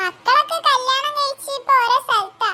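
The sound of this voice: A cartoonish character voice, squeaky and delivered at a moderate pace. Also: female-sounding voice.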